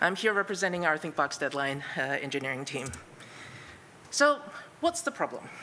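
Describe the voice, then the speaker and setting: A woman's voice sounds shaky, with very wide pitch swings. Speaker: conference speaker, product manager. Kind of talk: conference talk. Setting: stage with audience. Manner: shaky voice; many filler words.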